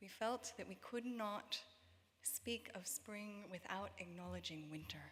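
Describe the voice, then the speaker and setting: A woman speaks in a plain, everyday voice. Her intonation is fairly even. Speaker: worship leader. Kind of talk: reflective prayer address. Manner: slow.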